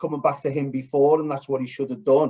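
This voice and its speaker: A man with a Liverpool accent. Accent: Scouse. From Liverpool, England. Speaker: podcast co-host. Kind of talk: casual chat.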